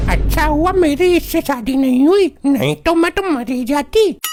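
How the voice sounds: Using a cartoonish character voice, a woman speaks at a high pitch and a moderate pace.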